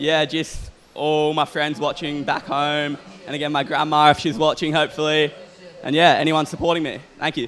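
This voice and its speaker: A man with an Australian accent talks at a moderate pace in a fairly high, monotone, flat voice. Noticeable background noise runs underneath. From Australia, Queensland (North Stradbroke Island). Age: young. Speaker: pro surfer. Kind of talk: post-heat interview.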